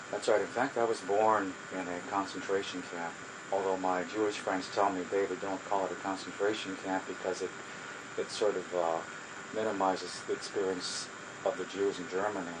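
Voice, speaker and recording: Delivery is moderate in pace, with monotone, flat intonation. Audible room echo and noticeable background noise are present. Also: man, fairly low pitch for a man. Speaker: social worker. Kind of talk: oral history interview. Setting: home. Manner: halting.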